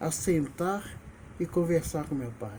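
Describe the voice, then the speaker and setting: Slow-ish and high-pitched, a man's voice has a dark, mellow tone and a fairly slow pace. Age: 70s. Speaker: retired teacher and video blogger. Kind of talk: personal memoir monologue.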